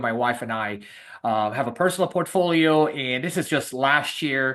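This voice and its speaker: With a Spanish accent, a man speaks at a moderate pace in a fairly high pitch with lively intonation. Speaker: real estate investor. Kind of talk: webinar presentation. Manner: many fillers and hesitations.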